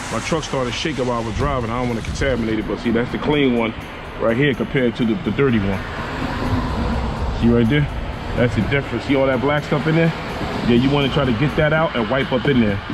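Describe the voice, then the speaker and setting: A man talks at a very fast pace with ordinary pitch variation while music plays in the background. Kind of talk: tutorial. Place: street. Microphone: phone near.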